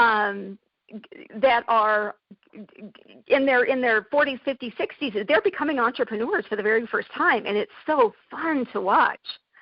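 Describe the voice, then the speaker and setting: A woman with a high pitch talks at a moderate pace. Her intonation is lively, with big swings in loudness. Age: 50s. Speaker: entrepreneur, coach. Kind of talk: interview. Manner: animated.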